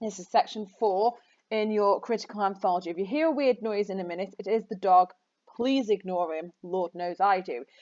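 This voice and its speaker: A woman talks at a fairly quick pace with a medium pitch in an unremarkable speaking voice. Her loudness swings widely. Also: ordinary pitch variation. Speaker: English teacher. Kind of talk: lecture.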